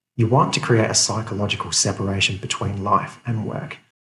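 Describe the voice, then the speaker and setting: His pitch is medium. The man moves along at a fairly quick pace. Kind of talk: motivational talk to camera. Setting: office. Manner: whispered, quiet.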